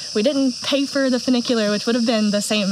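With ordinary pitch variation, a woman speaks in a dry sound with no echo amid noticeable background noise. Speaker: travel vlogger. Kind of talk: casual vlog chat. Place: forest. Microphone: phone near.

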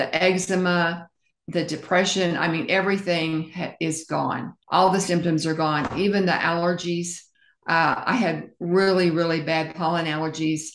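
The speech moves at a moderate pace with monotone, flat intonation. Light background noise and audible room echo are present. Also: woman, fairly low pitch for a woman. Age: 70s. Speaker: interviewee sharing health journey; interview guest. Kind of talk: interview testimony. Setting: interview. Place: home room. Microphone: video call.

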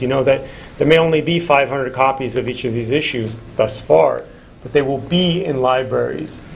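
Here is a plain, everyday voice from a man with a fairly high pitch. His intonation is lively, with light background noise behind him. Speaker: magazine contributing editor; panelist. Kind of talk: panel discussion. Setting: stage with audience. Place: classroom. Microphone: camera far.

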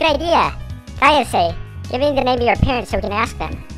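Clear music plays behind a cartoonish character voice. The pace is fairly quick. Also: female-sounding voice.

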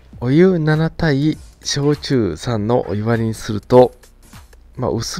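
A man is speaking. Music plays in the background. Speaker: drink reviewer. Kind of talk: product review commentary. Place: home room.

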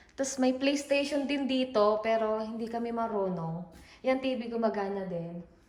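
A woman speaks at a fairly slow pace with a fairly high pitch and ordinary pitch variation. Room echo is audible. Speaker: vlogger. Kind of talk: casual vlog walkthrough. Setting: walking tour of a house.

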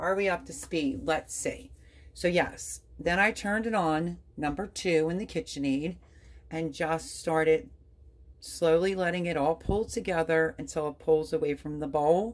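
A woman's unremarkable speaking voice, fairly low-pitched, with ordinary pitch variation and a fairly slow pace. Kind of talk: tutorial. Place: kitchen. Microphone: phone near.

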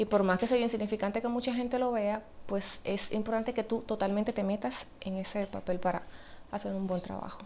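Over light background noise, a woman speaks at a fairly quick pace with a fairly high pitch and fairly even intonation. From Dominican Republic. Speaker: actress. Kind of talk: interview answer. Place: home room.

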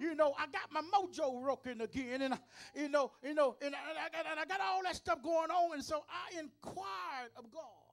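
Over faint background music, a man talks in an energetic tone at an extremely high pitch, with big swings in loudness, ordinary pitch variation, a moderate pace and hardly any pauses. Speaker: preacher. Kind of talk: sermon delivered to a congregation. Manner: energetic, call-and-response preaching. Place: church. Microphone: handheld.

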